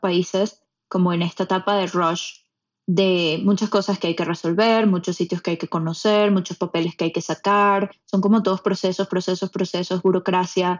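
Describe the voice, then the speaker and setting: In a monotone, flat intonation, a woman holds a medium pitch at a moderate pace. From Venezuela, Puerto Ordaz. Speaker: podcast producer, immigrant. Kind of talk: casual chat.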